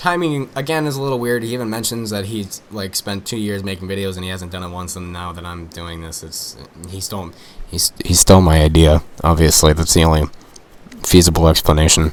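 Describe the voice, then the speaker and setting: Here a man speaks with a very deep, low pitch and ordinary pitch variation. His pace is fairly quick, with noticeable background noise. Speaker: music reviewer. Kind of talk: album review video. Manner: fast; casual, halting with fillers.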